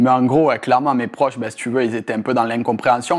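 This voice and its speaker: Talking at a very fast pace, a man has a medium pitch. His tone is animated. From Marseille, southern France. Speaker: sports betting specialist. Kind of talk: casual interview. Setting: in person in Tallinn. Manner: animated, slangy.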